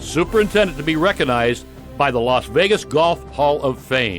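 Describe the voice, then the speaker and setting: Music runs in the background. Over it, a man talks at a moderate pace. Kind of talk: documentary narration.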